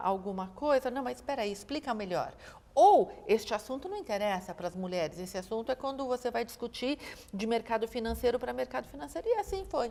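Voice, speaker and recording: A woman's high voice, lively in intonation, moves at a fairly quick pace amid noticeable background noise. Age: 60s. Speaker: investment event founder. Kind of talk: interview conversation.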